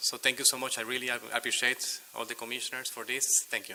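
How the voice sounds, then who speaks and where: A man speaks. Noticeable background noise runs under his voice. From Venezuela. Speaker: public commenter. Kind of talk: public comment at city meeting. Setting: city commission chamber.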